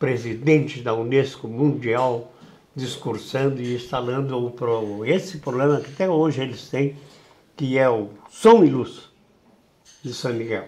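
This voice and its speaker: A man's dark, mellow voice of medium pitch, at a fairly slow pace with ordinary pitch variation, amid audible room echo. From southern Brazil, Rio Grande do Sul (Uruguaiana, Itaqui). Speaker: veteran radio broadcaster. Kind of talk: interview. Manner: animated.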